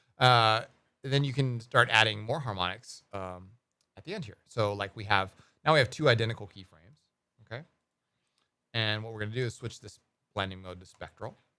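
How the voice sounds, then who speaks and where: A bright, sharp tone at a fairly quick pace, with ordinary pitch variation, big swings in loudness and long, frequent pauses, on a very clean recording with a silent background. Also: man, medium pitch for a man. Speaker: ambient music producer streamer. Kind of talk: live stream tutorial. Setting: live stream. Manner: fast; casual, with many fillers.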